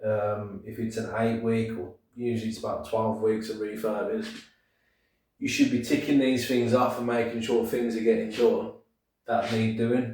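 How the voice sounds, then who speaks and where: A man's somewhat breathy, medium-pitched voice in a Brummie accent, flat and monotone, with audible room echo. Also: moderate pace. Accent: Birmingham (Brummie). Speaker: property investor and deal sourcer. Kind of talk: casual tutorial to camera. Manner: casual, hesitant with many fillers.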